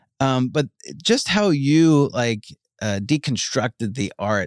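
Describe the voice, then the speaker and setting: In an American accent, a man speaks very slowly with very wide pitch swings, recorded dry and close with no echo on a very clean, silent background. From Long Island, New York. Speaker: podcast host. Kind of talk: casual chat. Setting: studio.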